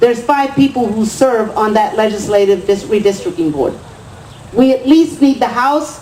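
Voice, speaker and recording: A woman speaks with an American accent at a moderate pace. Her intonation is lively, and there is noticeable background noise. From West Texas. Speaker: political candidate. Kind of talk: campaign speech. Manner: impassioned.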